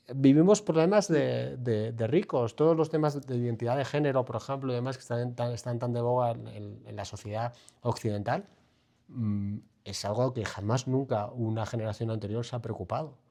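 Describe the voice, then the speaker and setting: A man with a medium pitch and a dark, mellow tone at a moderate pace. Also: ordinary pitch variation. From Spain, Bilbao (Basque Country). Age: 40s. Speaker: financial mentor and author. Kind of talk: interview conversation.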